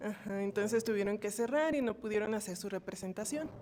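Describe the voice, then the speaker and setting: Soft-spoken, a woman talks at a fairly high pitch. Her pitch variation is ordinary. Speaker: course participant. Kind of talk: class discussion comment.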